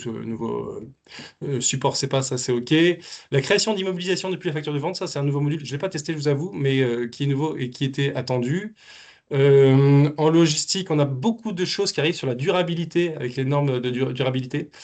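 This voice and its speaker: A fairly high-pitched man at a fairly quick pace, with ordinary pitch variation and a quiet background. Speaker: business software specialist. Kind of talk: webinar presentation. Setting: online webinar. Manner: halting, many fillers and repeats.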